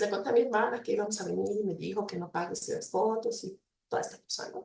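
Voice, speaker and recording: A woman's very fast speech with big swings in loudness. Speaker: university lecturer in psychology. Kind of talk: invited talk. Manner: hesitant with fillers.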